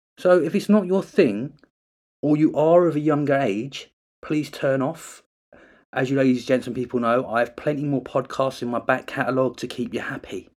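A man with a normal speaking voice talks at a moderate pace, pitched fairly high. His pitch varies in an ordinary way, and the recording is very clean with a silent background. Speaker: podcast host. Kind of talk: horror story audiobook reading, narrating creepy pasta tale with dialogue.

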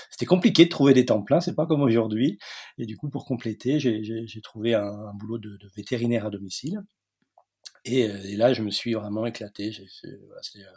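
Pausing long and often, a man speaks at a moderate pace and medium pitch with ordinary pitch variation, a dark, mellow tone and big swings in loudness. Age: 40s. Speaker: veterinarian and entrepreneur. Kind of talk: interview. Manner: hesitant, many fillers and repetitions.

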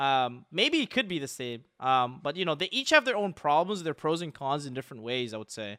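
A man talks with lively intonation in a fairly high, bright, sharp voice. The recording is very clean, with a silent background. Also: fairly quick pace, dry, close sound with no echo. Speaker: podcast host. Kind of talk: casual chat.

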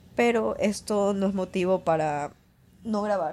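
Speaking at a fairly slow pace, a woman uses a medium pitch with ordinary variation and a slightly mellow tone.

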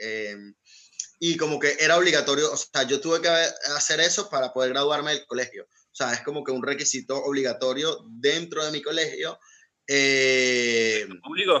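Moderate pace and ordinary pitch variation from a man with a fairly high pitch, in an ordinary speaking voice. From Venezuela. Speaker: guest from Venezuela. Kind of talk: casual panel discussion.

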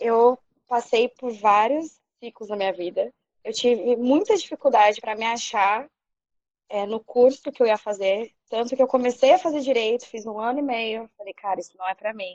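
In a dry, close sound with no echo, a woman uses an ordinary speaking voice at a fairly high pitch, speaking at a fairly slow pace with ordinary pitch variation and big swings in loudness. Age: 30s. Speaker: podcast panelist, advertising graduate. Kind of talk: casual chat.

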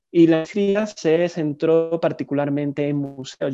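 A man with a fairly high voice and a dark, mellow tone speaks with ordinary pitch variation against a quiet background. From southern Spain, Seville. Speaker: museologist. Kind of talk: interview.

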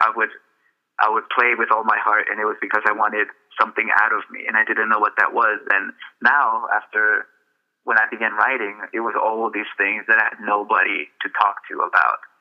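Talking fairly quickly, a man speaks with a Spanish accent. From El Salvador, then California from age nine. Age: 20s. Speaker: author. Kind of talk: radio interview.

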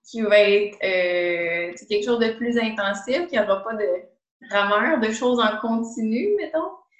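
A woman with a Quebec accent speaks very slowly at a fairly high pitch, her intonation lively. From Quebec, Montreal south shore. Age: 20s. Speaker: physiotherapist. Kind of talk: interview.

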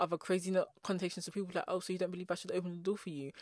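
In an English accent, a woman talks at a very fast pace on a very clean recording with a silent background. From England. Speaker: podcast host. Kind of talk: casual monologue. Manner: fast talker; animated.

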